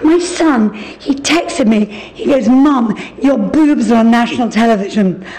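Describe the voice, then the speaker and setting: A woman with a fairly high pitch and lively intonation speaks at a moderate pace. Audible room echo and noticeable background noise fill the recording. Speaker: interior designer. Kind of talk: interview.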